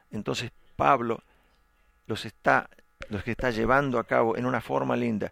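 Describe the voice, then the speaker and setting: In a very clean, dry, close recording with a silent background and no echo, a man at a medium pitch speaks at a moderate pace with very wide pitch swings. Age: 50s. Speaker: pastor. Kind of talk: sermon.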